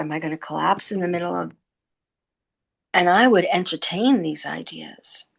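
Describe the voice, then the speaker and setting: Vocal fry runs through speech at a moderate pace against a quiet background. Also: woman. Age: 70s. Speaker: program client giving a testimonial. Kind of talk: testimony. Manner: halting, with false starts.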